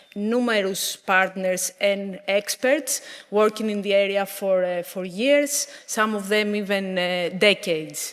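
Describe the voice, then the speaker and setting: A woman speaks at a fairly slow pace with fairly even intonation. There is noticeable background noise behind her. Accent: Greek. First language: Greek. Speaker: conservation project manager. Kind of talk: conference presentation. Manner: careful, deliberate.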